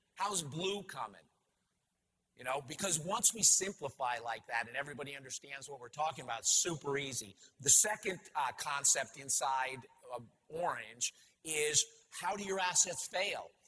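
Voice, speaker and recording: A man with an American accent talks at a moderate pace in an animated tone, his fairly high pitch carrying lively intonation. His loudness swings widely, and music plays in the background. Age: 60s. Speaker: company CEO and conference speaker. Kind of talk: conference keynote talk.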